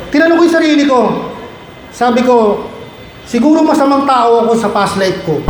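In a Filipino accent, the speaker talks at a fairly quick pace with lively intonation, very even loudness, and long, frequent pauses against noticeable background noise. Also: man, extremely high pitch for a man. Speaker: guest speaker, medical technologist and vlogger. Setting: stage with audience. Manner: animated, warm, humorous, building to an earnest, rousing pep-talk delivery.

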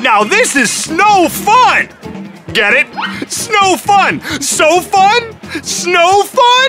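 A woman uses a cartoonish character voice at an extremely high pitch, with a fairly bright tone and big pitch swings. She goes very slowly while faint music plays in the background.

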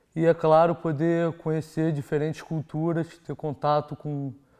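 A man's dark, mellow tone in a Rio de Janeiro accent, fairly slow pace, quiet background. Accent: Carioca Brazilian Portuguese. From Brazil, Rio de Janeiro. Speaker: exchange student. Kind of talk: testimonial. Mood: calm, positive.

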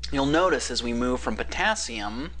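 Light background noise sits behind a man speaking. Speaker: chemistry lecturer. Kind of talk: educational lecture. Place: home room. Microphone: webcam.

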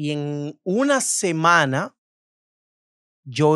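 The sound is dry with no echo and a quiet background. A man speaks at a fairly high pitch. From Dominican Republic, Cibao region (Tenares, San Francisco de Macorís); Dominican Republic. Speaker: influencer and beauty salon owner; influencer. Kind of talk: casual interview. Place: studio. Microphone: studio mic.

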